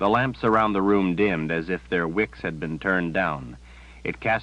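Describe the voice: Ordinary pitch variation in plain reading aloud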